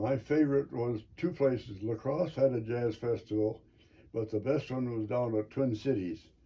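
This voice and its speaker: The voice is somewhat breathy. It speaks with an American accent. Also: man. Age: 80s+. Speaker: Navy veteran, trained in pharmacy. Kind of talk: interview answer.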